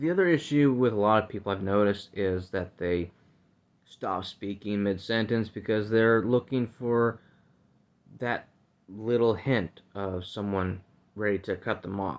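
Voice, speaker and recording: This man's voice sits fairly low. Its pitch varies in an ordinary way. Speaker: podcast host. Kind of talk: casual monologue.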